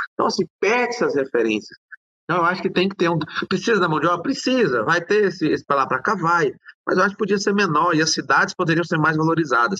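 The intonation is lively. The pace is very fast. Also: man, high pitch for a man. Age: 40s. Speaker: city councillor. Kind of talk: interview.

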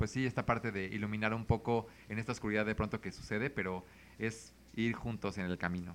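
Recorded very cleanly against a silent background, a man speaks at a fairly quick pace in an unremarkable speaking voice, his fairly low pitch moving with fairly even intonation. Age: 30s. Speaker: consultant and communicator. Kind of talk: casual chat.

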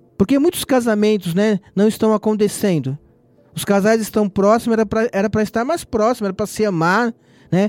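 Music plays in the background as a man talks at a fairly quick pace in a high pitch. His pitch variation is ordinary, and the sound is dry and close with no echo. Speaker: lay preacher. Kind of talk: sermon; prayer. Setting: online radio broadcast.

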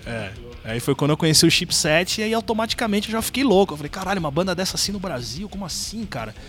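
Over music in the background, a man talks at a very fast pace. His voice is high-pitched and swings very widely in pitch. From São Paulo, east zone (Penha). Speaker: YouTuber and video editor. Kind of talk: casual chat. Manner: halting, repeats words.

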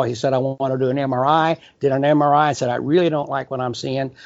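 The delivery comes at a fairly quick pace with monotone, flat intonation. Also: man. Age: 70s. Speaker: company founder and CEO. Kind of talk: interview conversation. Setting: video call from California. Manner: hesitant, filler words.

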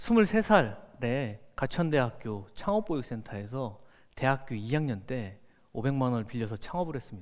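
On a very clean recording with a silent background, a man talks very slowly with very wide pitch swings. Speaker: company founder and CEO. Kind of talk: motivational talk. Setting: stage with audience.

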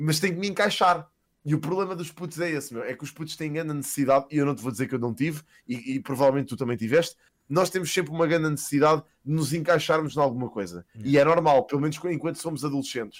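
Talking very fast, a man with a fairly high pitch shows ordinary pitch variation. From Portugal, Lisbon area (Queluz/Sintra). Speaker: streamer. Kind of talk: casual chat.

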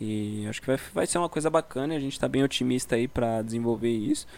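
A man's ordinary speaking voice at a medium pitch and moderate pace. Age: 20s. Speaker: podcast co-host. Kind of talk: casual chat. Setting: video call from home.

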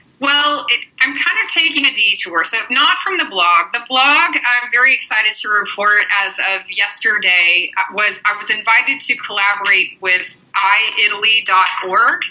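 Over noticeable background noise, a woman with a fairly high pitch talks at a fairly slow pace with lively intonation and hardly any pauses. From Canada. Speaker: Italian lecturer and translator. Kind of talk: interview.

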